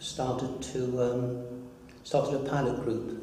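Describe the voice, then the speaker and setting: A man speaks at a medium pitch. The audio has audible room echo and noticeable background noise. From Derbyshire, England. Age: 60s. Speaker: retired doctor. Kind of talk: interview. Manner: halting, many fillers and restarts.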